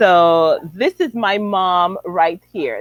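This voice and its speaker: A woman of medium pitch speaks with an American accent in a dry, close sound with no echo. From Chicago, US. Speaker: relationship coach. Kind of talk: casual livestream interview. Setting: livestream.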